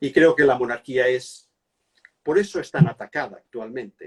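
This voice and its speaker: A man speaks with a Catalan accent. The sound is dry and close, with no echo. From Catalonia, Spain. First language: Catalan (speaking Spanish). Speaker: monarchy and history expert. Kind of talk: interview. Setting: Instagram live video call. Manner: hesitant, with fillers.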